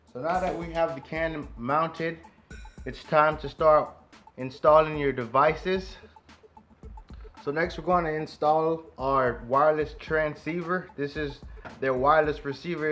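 Faint music plays in the background as a man speaks at a fairly slow pace with monotone, flat intonation. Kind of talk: tutorial.

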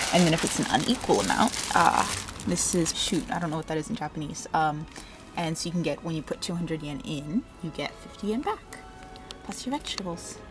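A woman's fairly low voice at a fairly quick pace amid noticeable background noise. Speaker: vlogger. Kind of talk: casual vlog chat. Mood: cheerful, excited. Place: street. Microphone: phone near.

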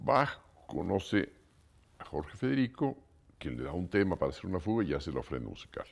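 The voice has vocal fry and very wide pitch swings at a fairly quick pace. Long pauses come often. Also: man, very deep, low pitch for a man. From Mexico. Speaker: composer; interviewee. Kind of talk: interview. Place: home room.

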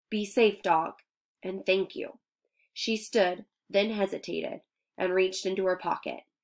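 Natural-voiced reading aloud, fairly even in intonation, quiet in the background

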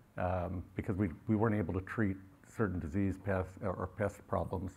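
In a very clean recording with a silent background, a man talks at a moderate pace in a somewhat breathy voice. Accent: American. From California, US. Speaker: farmer. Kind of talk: conference panel discussion. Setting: stage with audience.

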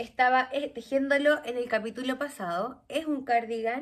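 Over a quiet background, a woman with a Chilean accent talks at a fairly slow pace in a high pitch. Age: 30s. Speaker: knitting podcaster. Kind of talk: casual chat. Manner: animated. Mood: cheerful, chatty. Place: home room.

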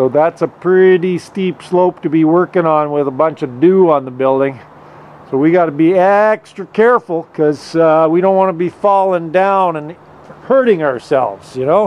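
At a moderate pace, a man speaks at a high pitch with ordinary pitch variation. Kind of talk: casual vlog chat. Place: open country. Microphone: phone near.

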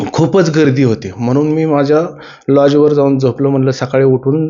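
Fairly even intonation marks an unremarkable speaking voice. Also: man. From Maharashtra, Baramati, Pune district. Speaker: driver and devotee. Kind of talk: personal testimony.

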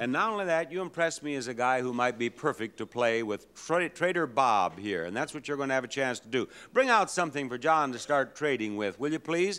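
A man talks at a fairly quick pace with hardly any pauses. His intonation is lively and his tone is bright and sharp. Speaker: game show host. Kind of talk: game show hosting. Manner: joking, playful. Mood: playful, teasing. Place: stage. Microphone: handheld.

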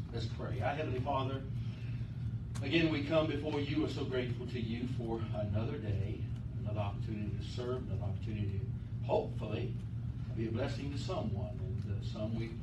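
A man talks at a fairly quick pace with ordinary pitch variation. Loud background noise runs behind him. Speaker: pastor. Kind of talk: sermon. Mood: calm, earnest. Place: church. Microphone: camera far.

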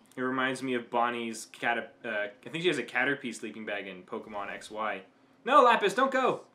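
A man talks at a fairly quick pace, his loudness swinging widely while his pitch moves in an ordinary way. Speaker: reaction video host. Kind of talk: casual reaction commentary. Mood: engaged, warm. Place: home room. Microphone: webcam.

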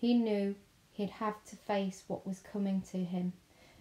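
Fairly even intonation in an unforced reading voice

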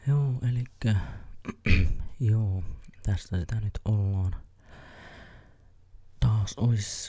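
Over a quiet background with a dry sound and no echo, a man with a fairly low pitch and a dark, mellow, somewhat breathy tone talks at a very slow pace, using ordinary pitch variation and long, frequent pauses. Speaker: ASMR creator. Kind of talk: ASMR casual rambling. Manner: soft-spoken. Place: home room. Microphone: studio mic.

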